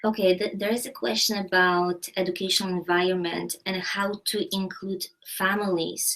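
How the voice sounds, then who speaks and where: This woman has a Polish accent and a medium-pitched voice. She keeps a moderate pace with fairly even intonation. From Poland. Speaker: university educator. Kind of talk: live online Q&A discussion.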